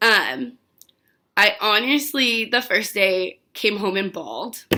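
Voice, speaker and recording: With a bright, sharp tone, a woman speaks at a very slow pace, her fairly high pitch showing ordinary variation. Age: 20s. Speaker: vlogger sharing mental health experiences. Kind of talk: personal vlog, casual monologue. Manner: casual, many fillers.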